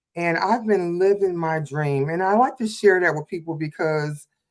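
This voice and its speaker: A woman with an unremarkable speaking voice talks at a fairly low pitch. Her pace is moderate and her pitch varies an ordinary amount. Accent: American. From Detroit, Michigan. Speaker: hairstylist and makeup artist, mentor. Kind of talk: casual livestream chat.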